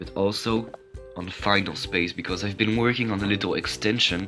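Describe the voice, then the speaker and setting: Music plays in the background as a man with a fairly low pitch talks at a moderate pace with ordinary pitch variation. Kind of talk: casual card game review talk to camera.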